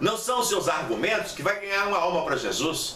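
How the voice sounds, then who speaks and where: A man projects a raised voice at high pitch with an animated tone and ordinary pitch variation. Audible room echo and noticeable background noise fill the recording. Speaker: missionary teacher. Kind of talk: lecture.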